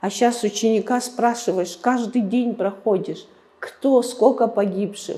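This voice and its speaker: Ordinary pitch variation runs through speech delivered at a very slow pace. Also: woman. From Abkhazia, Gudauta district. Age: 60s. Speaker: museum director. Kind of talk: interview. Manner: halting.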